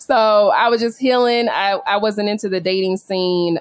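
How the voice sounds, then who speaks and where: With a medium pitch, this woman speaks at a moderate speed. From California. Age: young. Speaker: expat entrepreneur. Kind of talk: interview. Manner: casual, laughing often.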